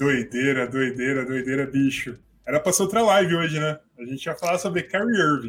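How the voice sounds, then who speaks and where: A man's lively intonation at a moderate pace, with music in the background. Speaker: basketball podcast co-host. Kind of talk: casual chat. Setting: online live stream. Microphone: voice distorted, sounding deep like an ogre.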